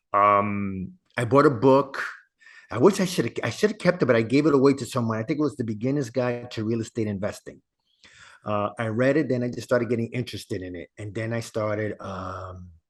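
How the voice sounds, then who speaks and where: Over a quiet background, a man talks at a fairly quick pace in a plain, everyday voice. His pitch is medium with ordinary variation, and his loudness swings widely. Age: 60s. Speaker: real estate investor and podcast host. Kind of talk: interview. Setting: podcast.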